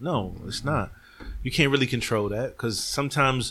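Bright, sharp tone from a man at a fairly quick pace. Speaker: podcast co-host. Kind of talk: casual banter, profane.

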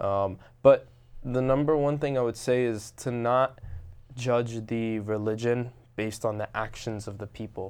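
This man has a New Jersey accent and a medium pitch, with fairly even intonation. He speaks at a fairly slow pace against a quiet background. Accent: New Jersey American. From Robbinsville, New Jersey, US. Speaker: restaurant owner. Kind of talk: interview.

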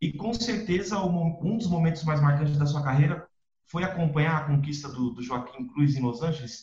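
A normal speaking voice from a man, fairly high in pitch, with ordinary pitch variation at a moderate pace. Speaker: podcast host. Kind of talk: interview.

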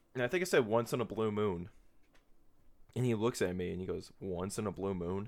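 Delivered at a fairly quick pace with an American accent, the speech comes through a very clean recording with a silent background. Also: man. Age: 20s. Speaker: podcast host. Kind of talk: casual solo chat. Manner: animated.

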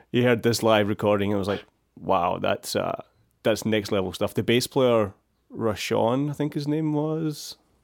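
A man talks with a Glasgow accent at a medium pitch. He keeps a moderate pace with ordinary pitch variation. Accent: Scottish (Glasgow). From Scotland, near Glasgow. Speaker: podcast host, bass teacher. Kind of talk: interview. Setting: video call. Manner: hesitant with many fillers.

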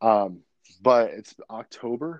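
Against a quiet background, a man with an ordinary speaking voice talks in a medium pitch with ordinary pitch variation. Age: 30s. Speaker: ministry founder and nutrition coach. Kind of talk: casual chat.

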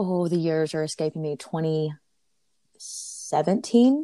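Here is a woman with an Alabama accent and a very deep, low pitch. The recording is very clean with a silent background, dry and close with no echo. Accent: Southern US (Alabama). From US South, Auburn, Alabama. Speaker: traveler and corporate professional. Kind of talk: interview.

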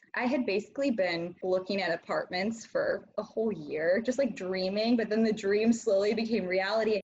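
A woman with an American accent, fairly high pitch, a somewhat breathy voice, a moderate pace with hardly any pauses and ordinary pitch variation. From US Midwest, small town. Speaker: podcast guest. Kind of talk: interview.

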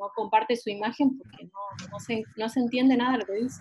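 In an ordinary speaking voice, a woman talks at a moderate pace with a fairly high pitch and fairly even intonation. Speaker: travel writer. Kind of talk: online group discussion. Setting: video call. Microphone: unstable connection.

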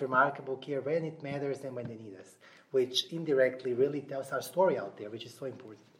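His pitch is fairly high. The man speaks very fast. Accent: Russian. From Nashville, US South. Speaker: HR technology director. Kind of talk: interview. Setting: live event venue.

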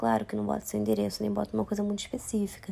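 A woman talks at a very fast pace. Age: 20s. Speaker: podcaster. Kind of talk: casual monologue. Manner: animated.

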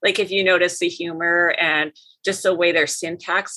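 At a fairly slow pace, a woman with an Upper Midwest accent speaks at a medium pitch in a bright, sharp tone. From Minnesota and North Dakota. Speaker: professor. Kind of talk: interview conversation.

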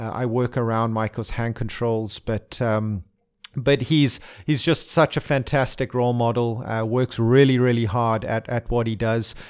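Recorded very cleanly against a silent background, a man speaks in an unremarkable speaking voice at a medium pitch and moderate pace, his intonation fairly even. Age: 30s. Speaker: racing driver. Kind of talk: interview. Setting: studio.

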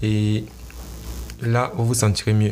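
Pacing stays moderate throughout. The intonation is flat and monotone. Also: man. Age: young. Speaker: entrepreneur and blogger podcaster. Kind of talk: motivational solo talk. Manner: halting.

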